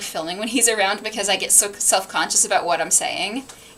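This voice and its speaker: Noticeable background noise sits behind a woman speaking at a fairly quick pace. Her pitch is medium and her intonation fairly even. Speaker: book streamer. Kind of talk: casual livestream chat. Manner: halting, restarts sentences.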